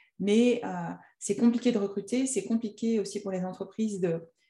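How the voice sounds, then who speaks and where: A woman's voice has a dark, mellow tone and is somewhat breathy. Her intonation stays fairly even. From Annecy, French Alps. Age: 40s. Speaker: entrepreneur and coach. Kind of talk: interview. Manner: hesitant, many fillers.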